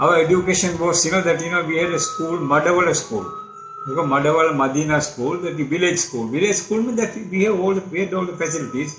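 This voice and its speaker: In a Tamil accent, the speech comes at a very fast pace with ordinary pitch variation, audible room echo and noticeable background noise. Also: man, high pitch for a man. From Sri Lanka, Kandy area. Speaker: journalist and author. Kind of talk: life story interview. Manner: hesitant, many fillers.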